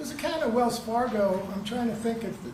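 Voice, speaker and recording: Over noticeable background noise and audible room echo, a man with an extremely high pitch talks at a fairly quick pace with ordinary pitch variation. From New Jersey. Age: 80s+. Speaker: trial witness. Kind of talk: courtroom testimony. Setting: courtroom. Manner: halting.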